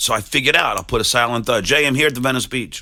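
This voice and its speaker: A man with an American accent talks very fast at a medium pitch in a bright, sharp tone. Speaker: radio and TV announcer. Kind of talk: interview answer. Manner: occasional stutter, hesitant.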